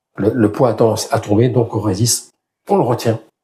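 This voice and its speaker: Slightly breathy and dark, mellow in tone, a man at a medium pitch speaks fairly slowly with fairly even intonation. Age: 60s. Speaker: fitness youtuber. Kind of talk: tutorial. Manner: casual.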